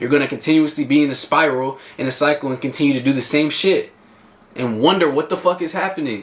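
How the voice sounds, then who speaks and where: Over noticeable background noise, a man talks at a fairly quick pace in an animated tone with ordinary pitch variation. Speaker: vlogger and fitness coach. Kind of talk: casual motivational vlog monologue. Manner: loud, animated.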